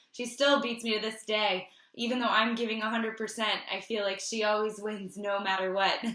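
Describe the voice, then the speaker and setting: The intonation is monotone and flat. Noticeable background noise runs behind the voice. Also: woman, fairly high pitch for a woman, fairly quick pace. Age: 30s. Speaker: wellness host. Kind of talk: casual interview host talk.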